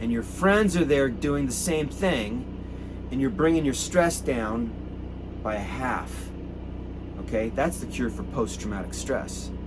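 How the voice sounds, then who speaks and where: Amid noticeable background noise and audible room echo, a man with an American accent speaks in an animated tone at a moderate pace. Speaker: activist. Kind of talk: impassioned address to protesters.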